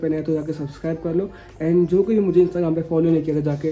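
The man speaks at a very fast pace with monotone, flat intonation. Faint music plays in the background. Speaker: vlogger. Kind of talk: casual vlog chat.

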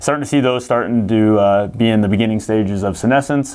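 At a fairly low pitch, a man with a Midwestern American accent speaks with ordinary pitch variation. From Missouri. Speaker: seed company agronomy staff. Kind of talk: casual chat. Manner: frequent fillers, hesitant. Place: meeting room. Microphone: lapel.

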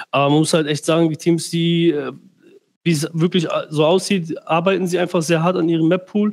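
A man with a high-pitched voice, flat and monotone, at a moderate pace over a quiet background. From Germany. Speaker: professional esports player. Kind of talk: casual livestream Q&A. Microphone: headset.

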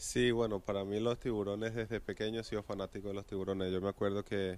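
A man's fairly low voice, very fast and monotone with flat intonation, in a dry sound with no echo. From Venezuela. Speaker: professional baseball pitcher. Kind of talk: interview answer. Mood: relaxed, reminiscing. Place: stadium. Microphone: handheld.

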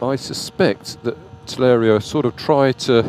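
A man's voice comes through dry, with no echo. Faint music plays in the background. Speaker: electric bike dealer reviewer. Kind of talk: ride review commentary. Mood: relaxed, amused. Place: motorbike. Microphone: helmet.

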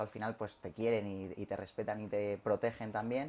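The man's speech moves along fairly fast. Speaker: interviewee. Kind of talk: interview answer. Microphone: camera far.

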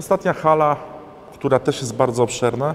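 The speaker talks at a very fast pace. Light background noise is present. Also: man. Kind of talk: walkthrough tour commentary. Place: garage.

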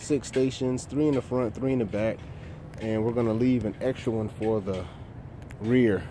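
Amid noticeable background noise, a man speaks at a fairly slow pace with fairly even intonation, and the sound is dry with no echo. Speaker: landscaping contractor. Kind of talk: commentary. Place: garden. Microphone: phone near.

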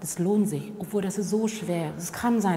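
The speaker talks at a moderate pace with a Vietnamese accent. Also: woman. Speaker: diversity trainer and former contract worker. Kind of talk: interview answer. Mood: calm, reflective, earnest.

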